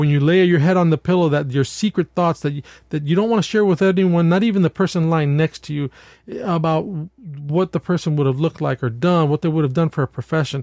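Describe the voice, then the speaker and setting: A man with an American accent speaks at a fairly quick pace, his voice fairly high-pitched with ordinary pitch variation. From New York State. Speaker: pastor and podcast host. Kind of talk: solo podcast monologue with pastoral reflection. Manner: halting, frequent repetitions and fillers.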